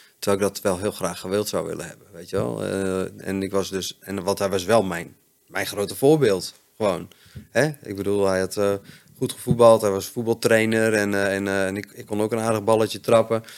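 At a moderate pace, a man with fairly low pitch speaks with fairly even intonation and big swings in loudness. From Netherlands, Friesland. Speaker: chef in addiction recovery. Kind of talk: interview, personal testimony. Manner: halting, many fillers.

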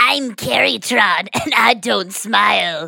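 A put-on character voice, female-sounding and gravelly, at a medium pitch for a woman and a fairly slow pace. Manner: menacing, deadpan.

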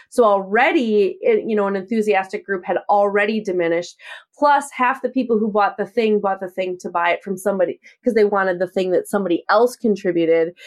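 An unremarkable speaking voice, a woman at medium pitch moving at a fairly quick pace. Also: ordinary pitch variation. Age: 40s. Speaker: online course creator. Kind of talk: interview.

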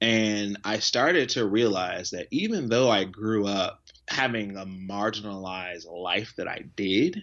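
In a plain, everyday voice, a man speaks with an American accent at a fairly low pitch. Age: 20s. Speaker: nonprofit founder and teacher. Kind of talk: interview. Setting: video call.

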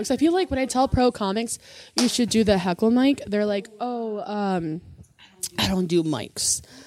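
In an American accent, a woman talks at a moderate pace in a fairly high pitch, with a plain, everyday voice. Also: lively intonation. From US Midwest, Chicago. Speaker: comedian. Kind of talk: casual chat.

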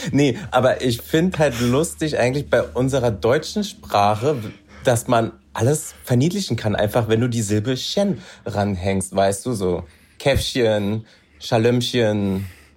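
On a very clean recording with a silent background, a somewhat breathy man of medium pitch speaks at a very slow pace with lively intonation. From Berlin, Germany. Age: 30s. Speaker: reality TV contestant. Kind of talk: casual chat.

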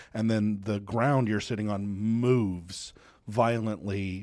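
With an unremarkable speaking voice, a man talks at a fairly slow pace and fairly low pitch, his intonation fairly even, in a very clean recording with a silent background. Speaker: co-host web developer.

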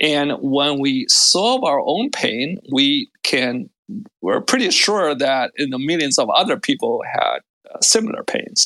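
A fairly slow pace with a non-native accent. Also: man. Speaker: tech startup founder. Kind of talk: interview. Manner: halting, many fillers.

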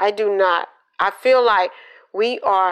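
A medium-pitched woman with a Southern US accent. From Georgia, US South. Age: 50s. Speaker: healthcare laundry worker. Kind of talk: interview.

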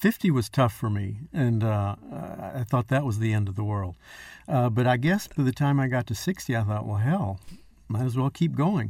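A man with an American accent and a somewhat breathy, medium-pitched voice talks at a moderate pace with lively intonation, recorded very cleanly against a silent background. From Texas. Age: 60s. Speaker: chef. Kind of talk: casual chat.

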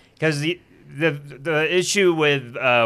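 Over a quiet background, a man talks at a fairly slow pace. His tone is bright and sharp. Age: 30s. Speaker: stand-up comedian. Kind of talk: casual chat.

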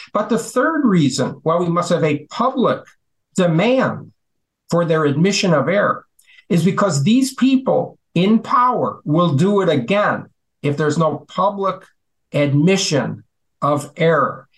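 The speech moves at a fairly slow pace with lively intonation and very even loudness. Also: man, high pitch for a man. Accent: American. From US Midwest (Chicago). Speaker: physician and health policy adviser. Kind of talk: interview.

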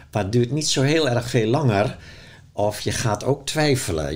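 At a moderate pace, a man speaks with lively intonation and vocal fry. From Zeeuws-Vlaanderen, Netherlands. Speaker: author and spiritual teacher. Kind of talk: in-depth interview. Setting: at his home.

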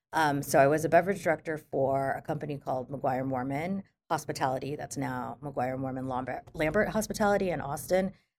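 A woman speaks with a very deep, low pitch and ordinary pitch variation on a very clean recording with a silent background. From Philippines. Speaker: restaurateur and master sommelier. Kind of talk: casual interview. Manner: animated.

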